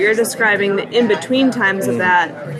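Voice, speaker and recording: Through audible room echo and noticeable background noise, a woman speaks at a moderate pace and medium pitch, with ordinary pitch variation. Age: 20s. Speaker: singer-songwriter and college student. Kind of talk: casual chat.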